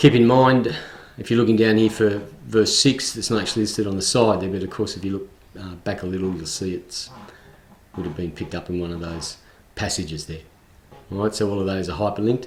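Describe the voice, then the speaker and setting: Someone with an Australian accent talks at a very fast pace with ordinary pitch variation and long, frequent pauses. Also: man, fairly low pitch for a man. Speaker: tutorial video creator. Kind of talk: screen recording tutorial. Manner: hesitant, many fillers.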